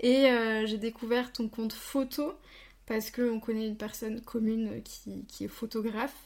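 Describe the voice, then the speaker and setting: In a very clean recording with a silent background, a woman speaks in a fairly high, somewhat breathy voice with monotone, flat intonation. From Franche-Comté. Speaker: podcast host. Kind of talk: interview.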